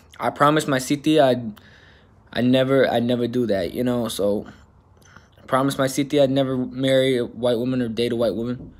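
Speaking at a fairly quick pace with an American accent, the man keeps his intonation fairly even. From Alaska, US. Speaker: YouTuber. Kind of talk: casual vlog monologue. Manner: casual, slangy. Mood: candid, somewhat emphatic. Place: home room. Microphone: phone near.

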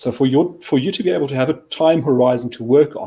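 Speaking at a fairly quick pace, a man has a medium-pitched, dark, mellow and somewhat breathy voice with fairly even intonation. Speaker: think tank chief of staff; guest. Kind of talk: current affairs discussion. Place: office.

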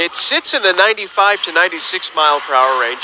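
Over noticeable background noise, a man speaks fairly slowly in an upbeat tone. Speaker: baseball radio broadcaster. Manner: brisk, upbeat play-by-play, pitch-by-pitch calls with stat asides.

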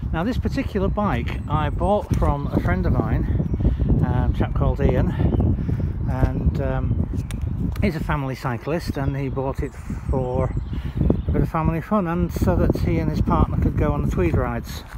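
Amid loud background noise, a man speaks at a moderate pace with long, frequent pauses, in a dry sound with no echo. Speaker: bike seller. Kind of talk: casual product walkaround. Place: open country. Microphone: phone near.

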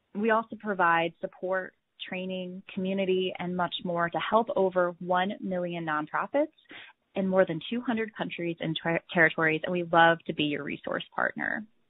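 A woman talks at a moderate pace in an ordinary speaking voice, medium in pitch with ordinary pitch variation. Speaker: webinar host. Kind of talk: webinar hosting. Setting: online webinar.

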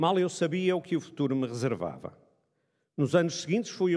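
Over a quiet background, the speaker moves at a fairly quick pace with ordinary pitch variation. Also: man. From Braga, northern Portugal; northern Portugal. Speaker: economics professor. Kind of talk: ceremonial speech. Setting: stage with audience. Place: hall. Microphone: podium.

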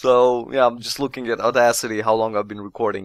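A man is speaking at a moderate pace. His tone is fairly bright.

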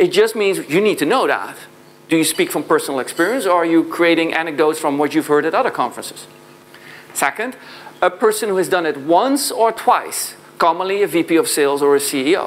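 With a Dutch accent, a man talks at a fairly quick pace in a high pitch, his intonation lively. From southern Netherlands. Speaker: sales consultant and founder; conference speaker. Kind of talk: conference keynote talk. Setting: stage with audience. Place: hall. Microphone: lapel.

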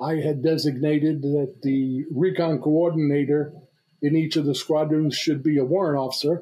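With a New York accent, a man speaks at a fairly high pitch in a monotone, flat delivery. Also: moderate pace, very even loudness. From New York (Brooklyn). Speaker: retired navy reconnaissance officer. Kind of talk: casual interview. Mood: relaxed, reminiscing. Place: home room. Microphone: webcam.

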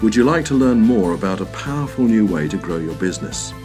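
Over background music, a man with a fairly low voice speaks at a very fast pace with lively intonation. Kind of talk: explainer video narration.

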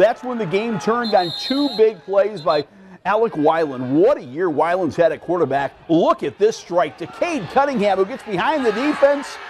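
Over noticeable background noise, a man talks at a moderate pace in a high pitch, with an animated, excited tone, very wide pitch swings and hardly any pauses. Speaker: sports broadcaster. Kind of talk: live sports commentary over game highlights. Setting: TV studio sports show. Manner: animated, excited play-by-play delivery.

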